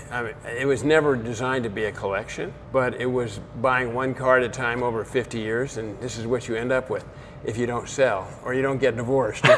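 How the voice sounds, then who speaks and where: Over noticeable background noise, a man speaks fairly quickly in a medium pitch with monotone, flat intonation. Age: 80s+. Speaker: car collector. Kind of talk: casual chat.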